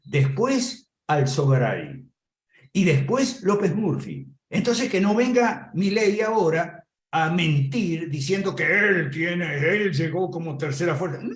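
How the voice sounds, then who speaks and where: At a very slow pace, a man with a high voice speaks with lively intonation. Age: 70s. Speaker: political commentator. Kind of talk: political commentary.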